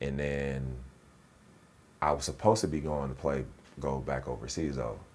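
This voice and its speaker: A man speaks in a very deep, low voice with an American accent. His intonation is fairly even. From Inland Empire, Southern California. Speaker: actor and former basketball player. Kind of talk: interview conversation. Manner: casual, halting with fillers.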